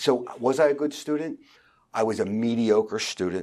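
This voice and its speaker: A man with a strong Philadelphia accent speaks with lively intonation on a very clean recording against a silent background. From Philadelphia, far northeast. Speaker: real estate team founder. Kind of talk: interview. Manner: halting.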